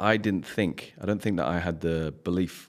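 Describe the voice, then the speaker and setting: A man with an English accent, very deep and low in pitch with ordinary pitch variation, at a fairly quick pace, on a very clean recording with a silent background. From England. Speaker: high-performance coach. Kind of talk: casual chat.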